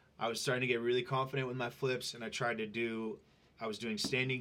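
This man talks at a fairly quick pace in an ordinary speaking voice. His pitch sits in the medium range. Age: 30s. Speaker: fitness trainer and social media influencer. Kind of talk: casual interview.

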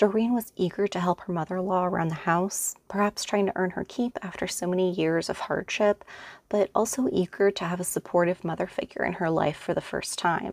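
A woman's unremarkable speaking voice at a medium pitch, fairly quick and fairly even in intonation, with a dry, close sound with no echo on a very clean recording with a silent background. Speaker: true crime podcaster. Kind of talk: true-crime narration. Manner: measured, serious storytelling; even, steady, scripted delivery.

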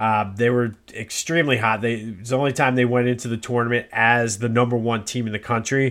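Monotone and flat, a man with an American accent talks at a fairly quick pace with hardly any pauses. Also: medium pitch for a man. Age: 40s. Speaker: sports podcaster. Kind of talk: casual solo podcast monologue.

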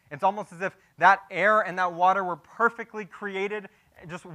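A man speaks at a moderate pace in a bright, sharp tone. The recording is very clean, with a silent background. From Texas, Houston area. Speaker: pastor. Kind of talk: sermon.

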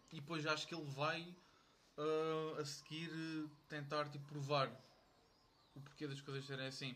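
A man's bright, sharp tone at a fairly high pitch and a moderate pace. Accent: European Portuguese. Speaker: university friend. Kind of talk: casual chat.

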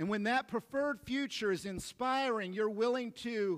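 Loud and at a moderate pace, the voice has ordinary pitch variation and a dry, close sound with no echo. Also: man. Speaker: pastor. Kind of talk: sermon. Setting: church.

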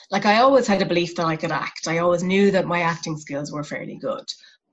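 In an Irish accent, a woman speaks at a fairly low pitch. Her pitch variation is ordinary. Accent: Irish (Clare). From Ireland, West Clare. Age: 40s. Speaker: arts professional. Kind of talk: casual interview.

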